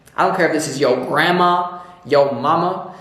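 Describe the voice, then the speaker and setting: Amid noticeable background noise and audible room echo, a man speaks at a moderate pace in a monotone, flat intonation. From New York. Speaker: tarot reader. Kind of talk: tarot reading.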